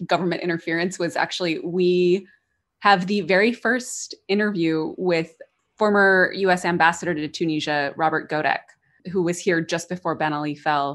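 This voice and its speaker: Against a quiet background, a woman with an American accent speaks in a plain, everyday voice at a moderate pace, using a fairly low pitch and fairly even intonation. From United States. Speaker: podcaster. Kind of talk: storytelling narration; casual interview chat.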